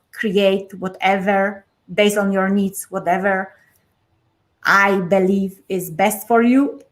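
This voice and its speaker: A woman with a Polish accent, medium pitch and a fairly slow pace. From Poland. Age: 40s. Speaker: life coach. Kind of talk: interview.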